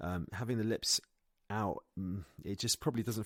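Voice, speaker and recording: A man with a British accent speaks at a moderate pace with lively intonation. The sound is dry and close, with no echo. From Britain. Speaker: English pronunciation teacher. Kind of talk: pronunciation lesson to camera.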